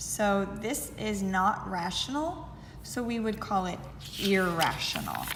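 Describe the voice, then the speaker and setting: Amid audible room echo, a woman at a medium pitch speaks very slowly with lively intonation. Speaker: math teacher. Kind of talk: tutorial.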